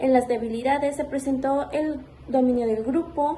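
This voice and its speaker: Dark, mellow tone at a fairly slow pace with fairly even intonation. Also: woman. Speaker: student teacher. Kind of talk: spoken report.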